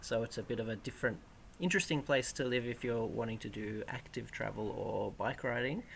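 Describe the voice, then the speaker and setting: Someone with an Australian accent talks at a fairly quick pace with ordinary pitch variation. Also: man, medium pitch for a man. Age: 30s. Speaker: cargo bike owner. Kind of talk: interview.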